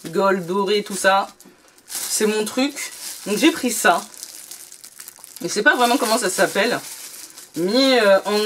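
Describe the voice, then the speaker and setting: Amid noticeable background noise, a woman with a fairly high pitch speaks at a very slow pace. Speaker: beauty and lifestyle youtuber. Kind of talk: shopping haul video.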